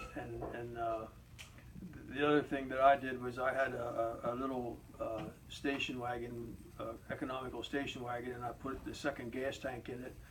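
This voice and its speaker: Audible room echo surrounds the speaker. A man talks in a monotone, flat intonation. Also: medium pitch for a man, moderate pace. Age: 70s. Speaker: interviewee recalling history. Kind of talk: interview answers, personal recollection. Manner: halting, many repetitions.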